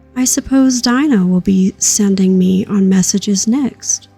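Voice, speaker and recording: A woman at medium pitch, with music in the background. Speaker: sleepcast reader. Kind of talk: audiobook-style read-aloud of a children's classic.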